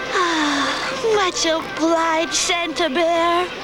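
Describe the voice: Loud music plays in the background as a cartoonish character voice with an extremely high pitch speaks at a very slow pace.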